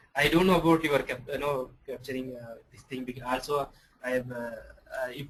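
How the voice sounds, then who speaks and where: Background noise is clearly present. Over it, a man talks with normal pitch movement. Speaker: software trainer. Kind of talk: online class lecture. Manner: halting, many fillers.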